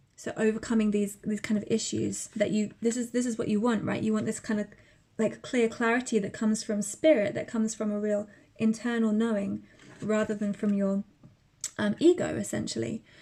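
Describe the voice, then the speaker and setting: Somewhat breathy and fairly high-pitched, a woman with a dark, mellow tone speaks at a fairly quick pace in a monotone, flat intonation. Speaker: tarot reader. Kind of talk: tarot reading to camera.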